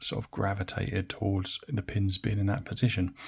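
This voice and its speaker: A man is speaking. He has an English accent. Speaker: hobbyist lock picker, video creator. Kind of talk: tutorial. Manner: casual, hesitant with many fillers.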